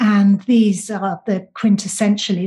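A woman's somewhat breathy, dark and mellow voice with a British accent, medium in pitch, flat and monotone, at a fairly slow pace against a quiet background. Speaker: author. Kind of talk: interview.

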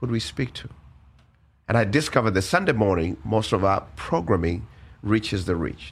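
A somewhat breathy man speaks at a fairly quick pace with a fairly low pitch. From Uganda. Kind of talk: interview.

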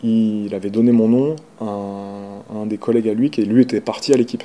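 This man talks at a medium pitch. His intonation stays fairly even. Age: 40s. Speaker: sports journalist. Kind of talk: interview testimony. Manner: halting.

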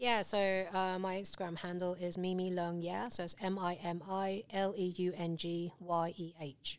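In a British accent, the speaker talks at a moderate pace with monotone, flat intonation and hardly any pauses. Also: woman, medium pitch for a woman. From England. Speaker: artist. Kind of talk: casual interview chat. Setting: studio.

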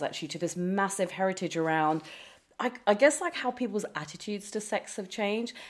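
In a very clean recording with a silent background, a woman with an unremarkable speaking voice talks at a fairly quick pace and medium pitch, her intonation lively. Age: 30s. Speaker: author. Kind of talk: interview.

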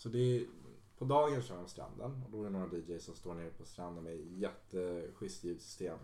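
At a fairly quick pace, the speaker uses lively intonation and a dark, mellow tone, with big swings in loudness and audible room echo. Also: man. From Stockholm, Sweden (Solna). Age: 20s. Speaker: DJ and music producer. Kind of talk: casual chat.

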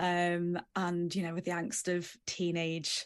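A woman with a fairly low pitch speaks fairly slowly with an English Midlands accent against a quiet background. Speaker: podcast co-host, TV producer. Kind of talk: casual chat.

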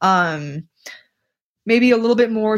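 A normal speaking voice at a fairly slow pace. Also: woman. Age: 30s. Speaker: Olympic middle-distance runner. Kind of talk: casual interview.

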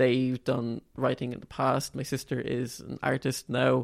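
A man with an Irish accent speaks at a medium pitch. His intonation is flat and monotone. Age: 20s. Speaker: student and novelist. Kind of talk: interview.

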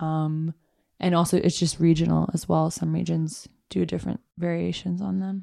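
The recording is very clean, with a silent background. A woman with a New York accent talks at a moderate pace. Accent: New York American. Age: 20s. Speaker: photographic artist. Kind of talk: casual chat.

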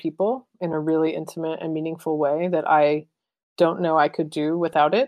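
A woman speaks at a moderate pace with a fairly low pitch. Her intonation stays fairly even in a normal speaking voice. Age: 30s. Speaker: photographer and artist. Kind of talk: interview conversation.

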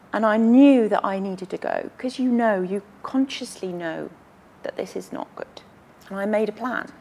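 At a moderate pace, a woman speaks in a fairly high pitch with ordinary pitch variation over noticeable background noise. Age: 50s. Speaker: politician. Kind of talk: interview.

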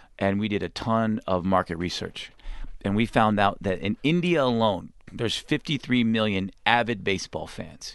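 A normal speaking voice with lively intonation moves at a moderate pace over a quiet background. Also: man, fairly low pitch for a man. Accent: American. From Texas. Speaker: sports league executive. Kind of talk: radio interview. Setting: studio.

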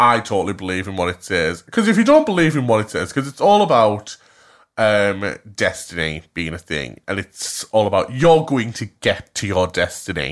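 On a very clean recording with a silent background, a man speaks at a moderate pace in an animated tone. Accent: Cumbrian. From Cumbria, northern England. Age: 20s. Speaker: podcast co-host. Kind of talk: casual chat.

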